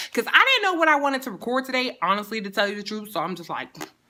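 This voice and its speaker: In a New York accent, a woman speaks with an animated, bright, sharp tone and lively intonation. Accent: New York City. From New York City, the Bronx. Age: 30s. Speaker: beauty and lifestyle vlogger. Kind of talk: casual get-to-know-me vlog.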